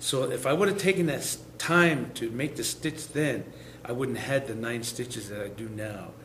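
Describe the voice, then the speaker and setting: There is audible room echo and noticeable background noise. A medium-pitched man speaks at a moderate pace with lively intonation. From Lakota, US Great Plains. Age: 60s. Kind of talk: lecture.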